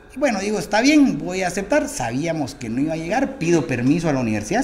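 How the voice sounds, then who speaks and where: Amid noticeable background noise and audible room echo, a man with a fairly high pitch talks very fast, his pitch swinging very widely. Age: 40s. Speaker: congressman. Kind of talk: interview.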